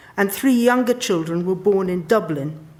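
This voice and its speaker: With a southern English accent, a woman speaks at a medium pitch with ordinary pitch variation. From London, England. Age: 60s. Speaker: sociologist. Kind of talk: public talk. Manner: formal.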